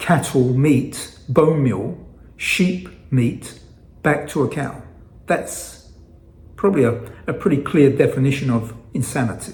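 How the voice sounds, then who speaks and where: In an American accent, a somewhat breathy man with a fairly high pitch and ordinary pitch variation talks at a fairly slow pace with long, frequent pauses amid audible room echo. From England. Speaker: fasting vlogger. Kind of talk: casual vlog monologue. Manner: halting, with frequent fillers and repetitions.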